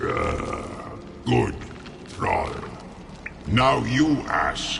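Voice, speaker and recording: Clear background noise accompanies a put-on character voice. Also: man. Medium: video game. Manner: broken, simple speech.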